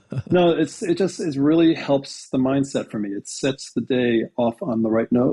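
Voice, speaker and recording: A man speaks with lively intonation and hardly any pauses. He has an ordinary speaking voice. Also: fairly high pitch for a man, moderate pace. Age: 60s. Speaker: TV creator and actor, podcast guest. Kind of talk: casual chat.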